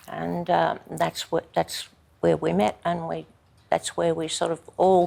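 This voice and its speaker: A woman in an Australian accent at a fairly slow pace. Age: 80s+. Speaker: army wife telling her life story. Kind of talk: interview testimony. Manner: halting, many fillers.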